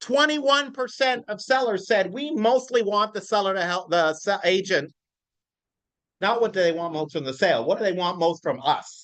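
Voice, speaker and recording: The voice is loud, with lively intonation. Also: man, high pitch for a man, moderate pace. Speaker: real estate coach. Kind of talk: live training class. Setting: classroom with live audience.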